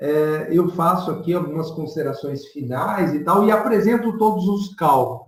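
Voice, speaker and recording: A man's high-pitched voice comes through with audible room echo. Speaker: professor and author of statistics book on covid. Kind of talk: online presentation and Q&A.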